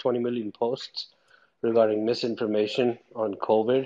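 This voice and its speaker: A man with an unremarkable speaking voice talks at a fairly quick pace in a medium pitch. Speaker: audience participant.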